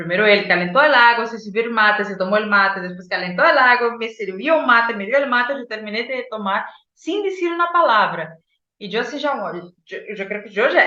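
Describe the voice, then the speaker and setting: A woman with a Brazilian accent talks at a fairly quick pace in a fairly high voice with very wide pitch swings. Audible room echo surrounds her. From Brazil, Boa Vista. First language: Portuguese (speaking Spanish). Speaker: psychologist and oral storyteller. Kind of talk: interview storytelling.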